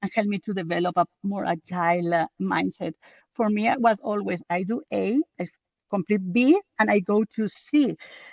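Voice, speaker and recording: With a strong Spanish accent, a woman speaks at a medium pitch with ordinary pitch variation, the sound dry and close with no echo. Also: moderate pace. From Spain. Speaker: book co-author, project manager. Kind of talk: podcast interview.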